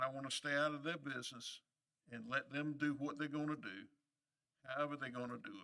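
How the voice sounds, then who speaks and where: A man's fairly high voice in a North Carolina accent, fairly quick in pace yet broken by long, frequent pauses. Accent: Southern US (North Carolina). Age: 70s. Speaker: county commissioner. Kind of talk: public meeting remarks. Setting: public meeting room. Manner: halting, many fillers.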